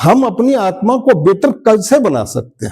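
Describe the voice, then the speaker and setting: Music in the background beneath a man's lively intonation. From eastern Uttar Pradesh, India (Gorakhpur). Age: 70s. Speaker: retired railway employee, spiritual practitioner. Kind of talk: testimony.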